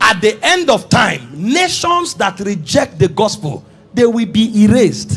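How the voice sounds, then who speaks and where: A man's high-pitched voice comes through with music behind it. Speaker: preacher. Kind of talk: sermon.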